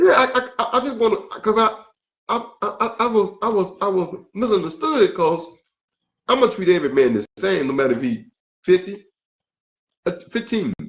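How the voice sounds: At a moderate pace, a man speaks with lively intonation, a fairly bright tone, and a high pitch.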